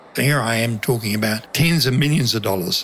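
Crowd noise fills the background. A man talks over it at a moderate pace. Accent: New Zealand. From New Zealand, country town. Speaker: former undercover financier for drug agency. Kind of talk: interview testimony.

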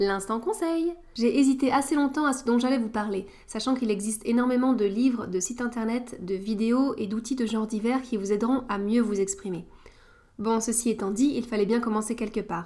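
A woman's fairly high voice has a dark, mellow tone, ordinary pitch variation and a moderate pace. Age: 30s. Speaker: podcast host. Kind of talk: scripted narration.

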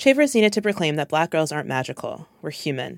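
On a very clean recording with a silent background, a woman speaks at a fairly quick pace in a very deep, low voice. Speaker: writer and producer. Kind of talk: scripted narration mixed with interview commentary.

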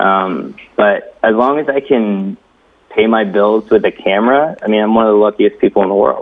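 An unremarkable speaking voice moves at a fairly quick pace, with ordinary pitch variation and very even loudness. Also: man. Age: 30s. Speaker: filmmaker / camera operator. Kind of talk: casual chat.

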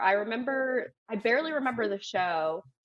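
An unremarkable speaking voice: a woman with an American accent, lively intonation, and a moderate pace. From South Florida. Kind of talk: casual chat.

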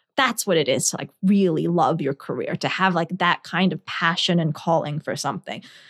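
Recorded very cleanly with a silent background and a dry, close sound with no echo, a woman with a New Jersey accent talks at a moderate pace in a fairly low pitch. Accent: American, New Jersey. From New Jersey, earlier Scotland and India. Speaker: lawyer and former novelist. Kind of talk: interview. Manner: halting, many fillers.

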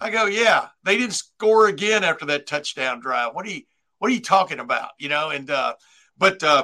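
With a bright, sharp tone, a man speaks at a moderate pace, his pitch swinging very widely. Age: 60s. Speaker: sports journalist. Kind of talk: casual chat.

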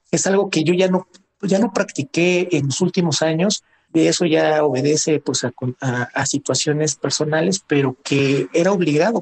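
A man at a fairly high pitch, with moderate pace, ordinary pitch variation and a dry, close sound with no echo. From Mexico City (Magdalena Contreras). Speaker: Olympic long-distance runner. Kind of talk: interview. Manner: halting, repeats words.

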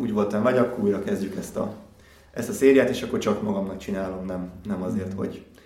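Noticeable background noise sits behind the recording. A man talks at a very fast pace. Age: 40s. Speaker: athlete. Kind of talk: interview.

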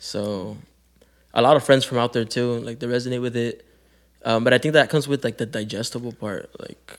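Recorded very cleanly against a silent background, a man talks at a fairly quick pace with long, frequent pauses and big swings in loudness. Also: fairly even intonation. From Calexico, California (US-Mexico border). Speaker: rapper. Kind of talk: casual chat.

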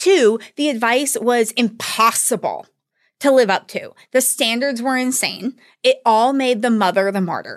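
Speaking at a moderate pace with ordinary pitch variation, a woman with an American accent has an unremarkable speaking voice at a fairly high pitch. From US South, northwest Georgia. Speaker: podcast host, academic researcher. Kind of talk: personal storytelling.

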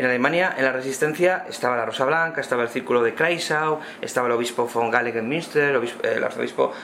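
At a very fast pace and with ordinary pitch variation, a man talks over noticeable background noise. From Spain. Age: 50s. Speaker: history professor. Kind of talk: round-table discussion. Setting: bookshop event with audience.

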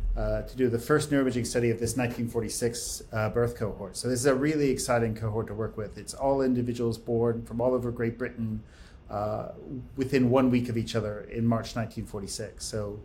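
A man with an American accent speaks at a moderate pace and medium pitch, his voice somewhat breathy. The tone is dark and mellow, the intonation monotone and flat. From United States. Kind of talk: interview.

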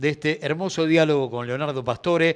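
Fairly high-pitched male speech over a quiet background. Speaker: radio host. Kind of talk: radio interview.

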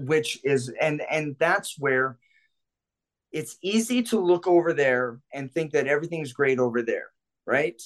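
In a plain, everyday voice, a man speaks at a fairly high pitch with lively intonation. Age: 50s. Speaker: self-defense instructor and club security veteran. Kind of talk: casual chat.

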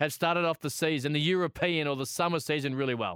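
A man with an Australian accent speaks at a very fast pace and a fairly high pitch. The very clean recording is dry and close with no echo and a silent background. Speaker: sports radio host. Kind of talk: casual radio sports chat. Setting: radio studio.

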